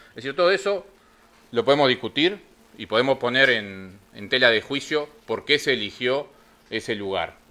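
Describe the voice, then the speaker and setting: A man's bright, sharp voice at medium pitch, with big swings in loudness. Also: moderate pace. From Uruguay. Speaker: union representative; union representative on a panel. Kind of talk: panel talk. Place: meeting room.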